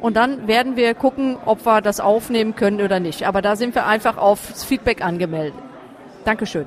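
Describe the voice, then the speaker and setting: A woman's fairly high pitch at a moderate pace, with ordinary pitch variation and crowd noise in the background. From Essen, Ruhr area. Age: 40s. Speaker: chair of a patient association. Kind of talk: interview. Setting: side room at a trade fair.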